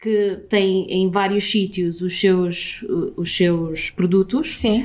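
A woman speaks with fairly even intonation. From Portugal. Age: 30s. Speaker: entrepreneur. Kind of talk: interview. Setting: office.

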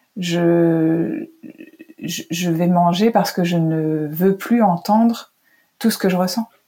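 At a very slow pace, a woman talks in a somewhat breathy voice of medium pitch, with a dark, mellow tone and lively intonation. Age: 40s. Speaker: journalist. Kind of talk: interview conversation. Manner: halting, many hesitations.

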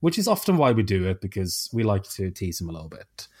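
A fairly low male voice with a Swedish accent at a fairly quick pace, on a very clean recording with a silent background. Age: 30s. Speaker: podcast host. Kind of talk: casual chat.

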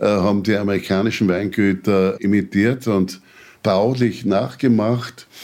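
Very slowly, a man speaks with ordinary pitch variation on a very clean recording with a silent background. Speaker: winegrower. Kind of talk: casual chat. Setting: kitchen.

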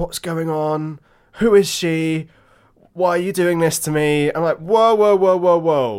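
A man with a southern English accent speaks at a fairly slow pace in a high voice, recorded very cleanly against a silent background. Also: ordinary pitch variation. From England (Hampshire). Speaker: podcast co-host, wine expert. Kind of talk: casual chat.

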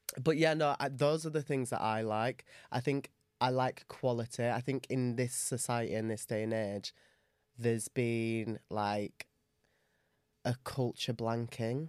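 On a very clean recording with a silent background, a man with an English accent speaks at medium pitch and a fairly slow pace, with fairly even intonation and a dry, close sound with no echo. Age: 20s. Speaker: podcast co-host. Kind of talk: casual chat.

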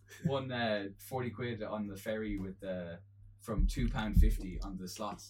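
In an Irish accent, a man with a fairly low voice talks at a moderate pace with ordinary pitch variation and big swings in loudness, in a room with audible echo. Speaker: co-host, musician. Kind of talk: casual chat. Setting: at his own home.

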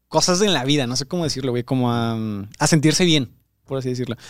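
A man with lively intonation, on a very clean recording with a silent background and a dry, close sound with no echo. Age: 20s. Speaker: producer and co-host. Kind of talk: casual chat.

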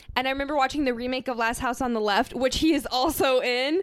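Fairly quick speech from a woman, high in pitch. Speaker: podcast co-host. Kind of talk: casual chat.

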